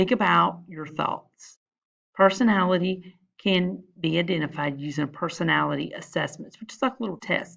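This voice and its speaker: A woman with vocal fry, against a quiet background. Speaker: school counselor teaching a class. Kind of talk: recorded class lesson.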